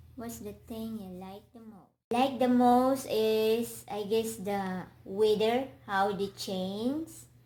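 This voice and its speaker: Speaking very slowly, a woman with a fairly high, somewhat breathy voice keeps her intonation fairly even while her loudness swings widely. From Philippines. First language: Filipino language. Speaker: vlogger. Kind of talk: casual interview. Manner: halting.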